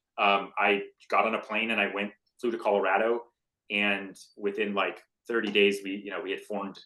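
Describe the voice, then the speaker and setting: This man has an American accent and a fairly low pitch with a bright, sharp tone. He speaks at a very fast pace. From United States. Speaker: tech company executive. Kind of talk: podcast interview. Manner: plain simplified speech.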